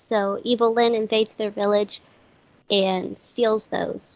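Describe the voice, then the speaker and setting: Her pitch is fairly high, and the woman talks at a very slow pace. Her intonation stays monotone and flat. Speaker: podcast co-host. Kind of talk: casual chat.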